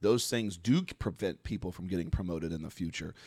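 In a very clean recording with a silent background, a man speaks at a fairly quick pace with ordinary pitch variation. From Florida (Mount Dora). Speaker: retired fire battalion commander. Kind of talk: casual interview chat. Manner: halting, many fillers.

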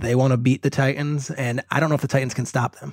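Speaking at a fairly quick pace, a man with an ordinary speaking voice keeps a fairly even intonation and a fairly high pitch. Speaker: football analyst. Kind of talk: casual interview chat.

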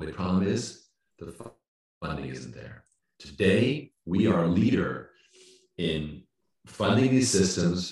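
There is audible room echo as a man speaks with vocal fry at a very deep, low pitch. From no fixed home; Canada, Caribbean, Europe. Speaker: company CEO. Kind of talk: interview.

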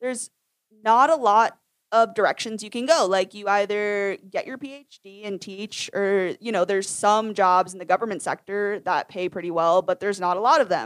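A woman with an American accent speaks in a normal speaking voice at a medium pitch with ordinary pitch variation. The sound is dry and close with no echo, and her loudness swings widely. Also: moderate pace. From Maine, US. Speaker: teacher. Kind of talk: casual chat.

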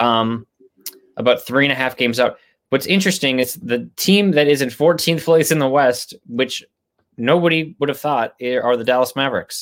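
Pitched fairly high, a man speaks at a moderate pace in an unremarkable speaking voice. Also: ordinary pitch variation. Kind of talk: casual banter, basketball chat. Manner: relaxed, conversational, with filler words.

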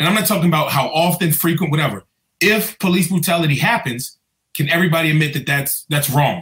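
Very fast and fairly high-pitched, a man's voice races along. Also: ordinary pitch variation, very even loudness. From Prince George's County, Maryland (DC area). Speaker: police officer. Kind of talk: interview. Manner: halting, many fillers.

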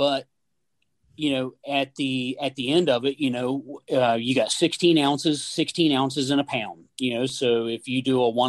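The sound is dry and close with no echo. A man of medium pitch speaks in an Appalachian accent with monotone, flat intonation. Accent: Appalachian American. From West Virginia. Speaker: gunsmith and hunter. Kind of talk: casual chat. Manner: halting, many fillers.

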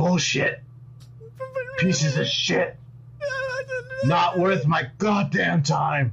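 Someone growls in a put-on character voice at a middle pitch and a very slow pace. Long, frequent pauses break it up, with clear background noise behind. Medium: actual play. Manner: angry, fed-up, growling.

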